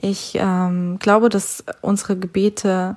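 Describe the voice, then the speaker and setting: This woman's voice has a medium pitch. She keeps her intonation fairly even. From Siberia, Russia. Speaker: church podcast host. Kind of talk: devotional talk. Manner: casual, hesitant with fillers.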